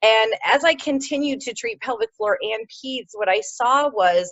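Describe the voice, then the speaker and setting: Lively intonation marks a woman speaking in a Midwestern American accent. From US Midwest, Ohio. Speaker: pelvic floor physiotherapist. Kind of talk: interview. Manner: hesitant, many fillers.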